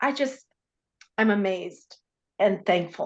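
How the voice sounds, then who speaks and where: A woman speaks with very wide pitch swings. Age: 60s. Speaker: program member sharing testimony. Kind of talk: testimony.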